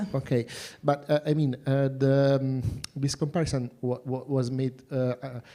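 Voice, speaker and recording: Dark and mellow in tone, a man speaks with a non-native accent. His intonation stays monotone and flat. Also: medium pitch for a man, moderate pace. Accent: foreign accent, self-noted. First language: non-native English. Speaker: jury member. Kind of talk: Q&A questioning. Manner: halting.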